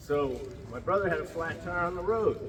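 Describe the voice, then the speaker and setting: Noticeable background noise runs beneath moderately paced speech with an American accent. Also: man. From Ponca Nation, Oklahoma. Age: old. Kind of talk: traditional storytelling.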